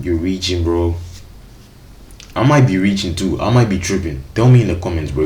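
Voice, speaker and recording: A very deep, low-pitched man at a fairly quick pace, with noticeable background noise and audible room echo. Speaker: streamer reacting to videos. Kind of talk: reaction commentary. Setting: live stream. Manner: casual slangy.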